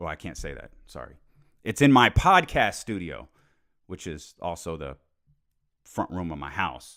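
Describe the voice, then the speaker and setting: On a very clean recording with a silent background, the speaker takes long, frequent pauses and swings widely in loudness. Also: man. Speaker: sports podcast host, former radio host. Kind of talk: solo sports podcast monologue. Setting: home podcast studio, alone. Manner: fast.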